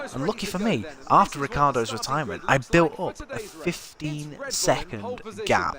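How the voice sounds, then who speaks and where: Over noticeable background noise, a man with a northern English accent speaks at a fairly high pitch with very wide pitch swings. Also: moderate pace. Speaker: gaming streamer. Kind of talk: live gameplay commentary. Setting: live stream. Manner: casual, halting with fillers.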